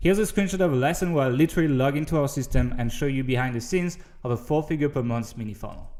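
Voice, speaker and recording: Speaking very fast with a French accent, a man barely pauses at all. His tone is dark and mellow, and his pitch moves in an ordinary way. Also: fairly high pitch for a man. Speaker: online marketing course seller. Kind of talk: sales pitch.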